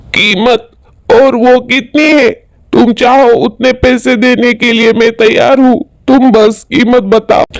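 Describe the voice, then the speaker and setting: The speaker uses a cartoonish character voice. It moves at a fairly slow pace. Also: man, extremely high pitch for a man. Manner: earnest, polite, pleading.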